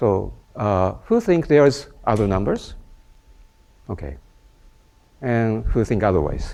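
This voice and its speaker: Talking at a fairly slow pace with long, frequent pauses, a man with a Japanese accent uses a fairly low pitch and lively intonation. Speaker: mathematician. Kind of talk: lecture. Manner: halting.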